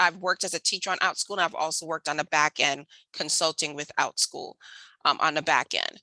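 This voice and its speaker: In an American accent, this voice has a bright, sharp tone and fairly even intonation, with a dry, close sound with no echo. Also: woman, quiet background. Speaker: homeschooling mom and math educator. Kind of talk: webinar presentation. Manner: fast.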